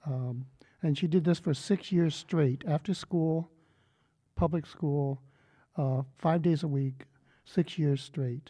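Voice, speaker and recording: At a very slow pace with long, frequent pauses, a man with a Californian accent speaks in a dark, mellow, somewhat breathy tone at fairly high pitch and with fairly even intonation, on a very clean recording with a silent background. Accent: California American English. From San Francisco Bay Area, US. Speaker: poet. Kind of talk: panel talk. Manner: halting.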